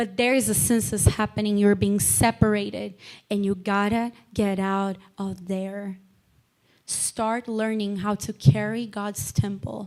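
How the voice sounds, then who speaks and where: The speaker is a woman with a non-native accent. Her pace is fairly slow. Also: medium pitch for a woman. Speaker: lay preacher. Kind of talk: sermon. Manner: animated.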